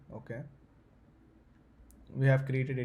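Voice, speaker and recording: A man's medium-pitched, somewhat breathy voice with a dark, mellow tone and audible room echo. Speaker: tech tutorial youtuber. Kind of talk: tutorial. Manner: fast; halting, many fillers.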